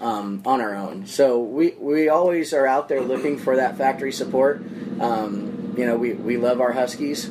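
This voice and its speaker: A man with an American accent speaks at medium pitch and a moderate pace. His intonation is lively, and there is noticeable background noise. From Phoenix, Arizona. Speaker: motorsports team owner and general contractor. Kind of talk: casual interview. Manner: halting, filler-heavy.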